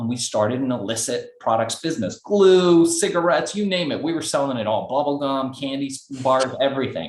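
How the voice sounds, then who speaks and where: With a Los Angeles accent and a fairly high pitch, a man speaks amid audible room echo. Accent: American (Los Angeles). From Iran, raised in Los Angeles. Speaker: entrepreneur. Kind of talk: interview.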